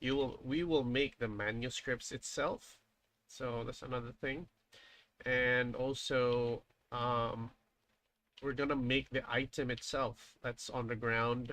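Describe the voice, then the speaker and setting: Speaking at a very slow pace, a man has a Filipino accent and a bright, sharp tone. His intonation is monotone and flat. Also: medium pitch for a man. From Philippines. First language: Filipino language (not English). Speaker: indie game developer. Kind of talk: live stream dev commentary. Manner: halting, many fillers.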